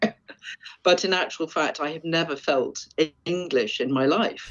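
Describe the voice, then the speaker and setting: A woman speaks at a moderate pace with an English accent, her fairly low voice moving through ordinary pitch variation. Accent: sounds very English. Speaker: forager and wild food expert. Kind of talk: interview.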